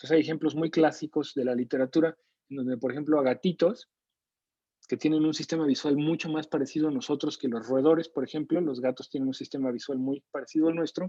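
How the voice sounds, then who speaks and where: Dry and close with no echo, a man speaks at a very fast pace. His tone is dark and mellow, his intonation fairly even. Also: fairly high pitch for a man. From Mexico City. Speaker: neuroscience lecturer and researcher. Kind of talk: online lecture. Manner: conversational, with frequent fillers.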